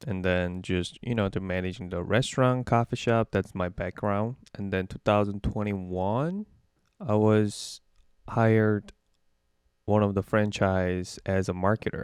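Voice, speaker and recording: Against a quiet background, a man with a Korean accent and a fairly low pitch talks at a fairly slow pace with fairly even intonation. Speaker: digital marketer. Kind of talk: interview. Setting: call. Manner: halting.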